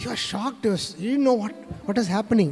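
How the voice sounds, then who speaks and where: Music plays in the background as a man talks in a high pitch. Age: 60s. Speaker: spiritual speaker. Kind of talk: testimony. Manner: halting, many fillers.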